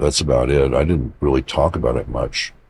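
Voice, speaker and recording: A man with an American accent and fairly even intonation, amid noticeable background noise. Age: 70s. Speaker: psychic healer, contactee. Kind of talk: interview. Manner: casual, meandering storytelling.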